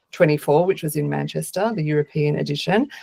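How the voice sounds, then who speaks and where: A woman with an Australian accent. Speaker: agile consultant and speaker. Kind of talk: conference talk. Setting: video call.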